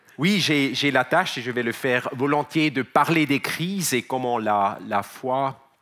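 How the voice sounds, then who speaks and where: A man's medium-pitched voice with a Swiss German accent, very slow in pace, with lively intonation. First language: Swiss German (speaking French). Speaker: company CEO, conference speaker. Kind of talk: conference talk. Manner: halting, many repetitions and fillers.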